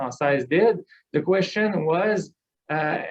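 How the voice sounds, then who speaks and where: Speaking at a fairly slow pace with a Quebec accent, a man shows ordinary pitch variation. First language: French. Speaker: business association executive. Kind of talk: panel talk. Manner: halting, many repetitions.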